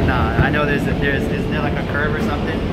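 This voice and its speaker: Loud background noise and a man's fairly quick pace. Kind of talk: casual vlog chat. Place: train. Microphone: phone near.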